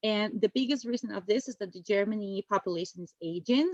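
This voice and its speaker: In a dry, close sound with no echo, a woman with a Spanish accent speaks in a fairly high voice with ordinary pitch variation. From Spain. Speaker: university admissions officer. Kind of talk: webinar presentation.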